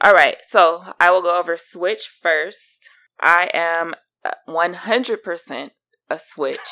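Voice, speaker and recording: A woman with a fairly low pitch and a bright, sharp tone speaks very slowly, with long, frequent pauses. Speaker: co-host, wife.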